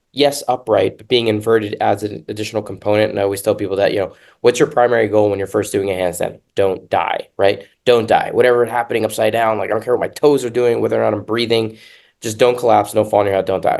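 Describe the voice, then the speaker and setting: At a very fast pace, a man with fairly low pitch and fairly even intonation speaks against a quiet background. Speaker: fitness podcast host. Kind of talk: casual podcast discussion. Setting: hotel room. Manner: loud.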